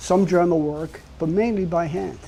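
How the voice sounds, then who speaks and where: This man has a Brooklyn accent and a dark, mellow tone at a high pitch. He speaks at a moderate pace with ordinary pitch variation. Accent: New York (Brooklyn). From New York City, Brooklyn. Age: 70s. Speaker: artist and sculptor. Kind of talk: casual talk about own artwork.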